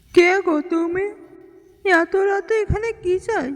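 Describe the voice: Pitched extremely high, a cartoonish character voice moves along at a fairly slow pace.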